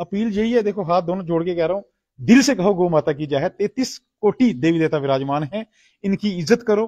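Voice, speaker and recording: With lively intonation and a dark, mellow tone, a man speaks at a moderate pace in a high pitch. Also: quiet background. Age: 40s. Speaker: cow shelter caretaker and activist; interviewee. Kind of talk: on-site interview. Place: farm. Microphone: lapel.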